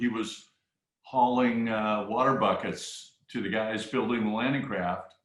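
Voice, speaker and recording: Monotone and flat in intonation, a man of medium pitch talks with an American accent. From US Midwest. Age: 60s. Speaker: retired businessman, sailing supporter. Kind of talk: casual interview. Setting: video call. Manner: hesitant, with repeated fillers.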